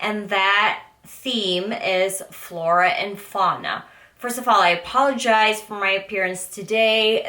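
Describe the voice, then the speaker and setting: This woman talks very slowly with fairly even intonation while noticeable background noise carries on behind her. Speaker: beauty vlogger. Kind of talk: casual vlog talk. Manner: chatty with fillers.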